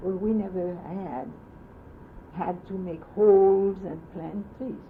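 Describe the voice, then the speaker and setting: A woman speaks very slowly with fairly even intonation and big swings in loudness, and audible room echo surrounds her voice. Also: medium pitch for a woman. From France. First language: French. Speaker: oral history interviewee. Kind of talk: oral history interview. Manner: halting.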